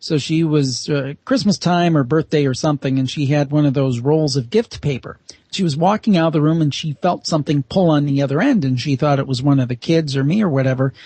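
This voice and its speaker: A fairly high-pitched man talks at a fairly quick pace with hardly any pauses and ordinary pitch variation. His voice is somewhat breathy, and his loudness stays very even. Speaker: paranormal podcaster and author. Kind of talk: radio interview guest.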